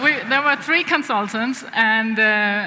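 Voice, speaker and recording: A woman talks with a Danish accent and ordinary pitch variation. The recording has audible room echo and noticeable background noise. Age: young. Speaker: business executive. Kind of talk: on-stage interview.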